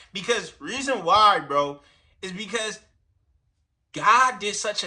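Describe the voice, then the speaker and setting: With a raised, projected voice and a bright, sharp tone, a man talks at a fairly slow pace, his delivery animated and his intonation lively. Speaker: streamer reacting to videos. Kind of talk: reaction commentary. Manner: loud.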